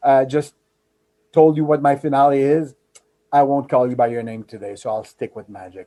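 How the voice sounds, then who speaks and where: A man speaks in a French accent with a dark, mellow tone. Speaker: corporate magician and memory trainer. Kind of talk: interview storytelling. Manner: animated, with frequent hesitations.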